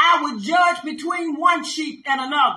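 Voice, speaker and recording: A woman's raised, projected voice, extremely high-pitched with a bright, sharp tone, at a very slow pace with audible room echo. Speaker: pastor. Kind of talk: sermon with scripture reading and commentary. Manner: emphatic, call-and-response preaching style. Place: home room. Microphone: phone near.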